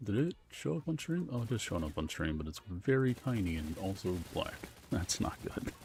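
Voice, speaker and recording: At a moderate pace, a man speaks with a fairly low pitch and very wide pitch swings against noticeable background noise. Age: 20s. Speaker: gaming streamer. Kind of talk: casual chat. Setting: live stream.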